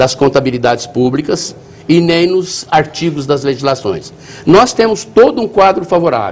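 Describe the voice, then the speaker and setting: This man has an ordinary speaking voice, pitched fairly high, and speaks at a fairly slow pace with lively intonation. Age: 60s. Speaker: municipal finance secretary. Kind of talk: TV interview.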